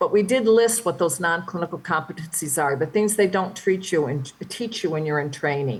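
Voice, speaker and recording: A woman with lively intonation moves at a fairly quick pace in a somewhat breathy voice. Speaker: physician leadership speaker. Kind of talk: lecture. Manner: fast.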